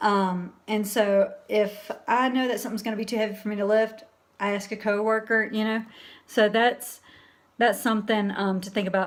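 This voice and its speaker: A woman with an American accent speaks at a fairly high pitch in a flat, monotone way. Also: moderate pace. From US South, Alabama. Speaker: livestream host, transgender community. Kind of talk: live stream chat reading viewer comments. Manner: casual, conversational with fillers.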